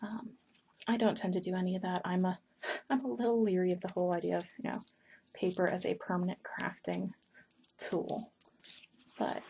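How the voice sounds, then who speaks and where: A woman with a dark, mellow tone and a somewhat breathy sound speaks at a medium pitch with ordinary pitch variation. She moves at a fairly quick pace but leaves long, frequent pauses. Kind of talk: ASMR paper-folding ramble to camera.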